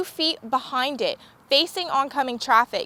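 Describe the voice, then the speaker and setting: In a raised, projected voice, a woman speaks high and with lively intonation. Her tone is bright and sharp, in a dry, close sound with no echo. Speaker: television news reporter. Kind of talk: TV news report.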